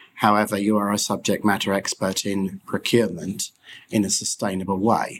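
At a fairly quick pace, a man with a British accent speaks in a fairly low pitch with monotone, flat intonation. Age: 40s. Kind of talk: interview. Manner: halting.

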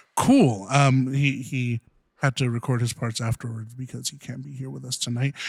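In an American accent, a somewhat breathy man speaks at a moderate pace with monotone, flat intonation. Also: medium pitch for a man, big swings in loudness. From Southern California. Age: 20s. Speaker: podcast host. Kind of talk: casual chat.

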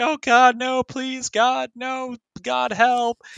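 A man's put-on character voice, extremely high in pitch, at a very slow pace against a quiet background. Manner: desperate, pleading.

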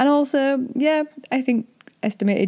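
A woman's voice, fairly slow in pace. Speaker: doula and podcaster. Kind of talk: solo podcast monologue. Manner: informal, friendly; struggles to pronounce some words.

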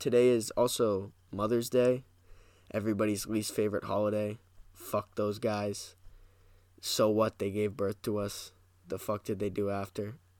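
Flat and monotone, a man speaks at a moderate pace with long, frequent pauses in a very clean recording with a silent background. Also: fairly low pitch for a man. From New Hampshire. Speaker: podcast host. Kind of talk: casual solo monologue. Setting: parents' basement at home.

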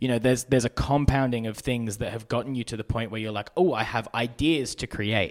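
A man speaks at a very fast pace with an Australian accent and ordinary pitch variation, in a very clean recording with a silent background. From Brisbane, Australia. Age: young. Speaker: documentary filmmaker and YouTuber. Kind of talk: casual interview.

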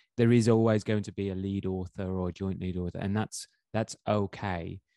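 In a plain, everyday voice, a man with fairly low pitch and fairly even intonation speaks at a moderate pace, the sound dry and close with no echo against a quiet background. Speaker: podcast host. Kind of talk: casual interview. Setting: online call.

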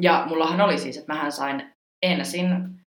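With audible room echo, a woman speaks slowly-ish at a fairly slow pace and a fairly low pitch. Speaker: podcast host, former exchange student. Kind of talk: casual chat. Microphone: poor sound quality.

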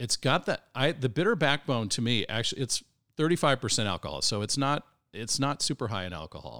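Bright and sharp in tone with vocal fry, a man speaks at a fairly quick pace with lively intonation in a very clean recording, silent in the background, dry and close with no echo. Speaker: brand co-founder and drinker. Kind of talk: casual chat. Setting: live event with audience.

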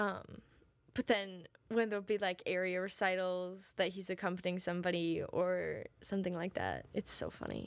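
A woman at medium pitch, moderately paced, with flat, monotone intonation. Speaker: college music student and podcaster. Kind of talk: casual solo chat. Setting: home recording. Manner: rambling with many fillers.

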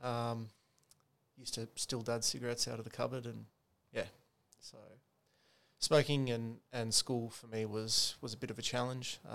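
A man with an Australian accent speaks at a medium pitch and a moderate pace, his intonation monotone and flat. Long, frequent pauses break up his speech, and his loudness swings widely. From Sydney, Australia. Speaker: podcast guest. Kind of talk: casual chat. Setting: apartment.

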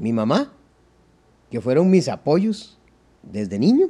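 Speaking at a very slow pace with a Costa Rican accent, a man uses a fairly high pitch, very wide pitch swings and a dark, mellow tone. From Costa Rica, San José area. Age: 60s. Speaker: accordion player. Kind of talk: interview.

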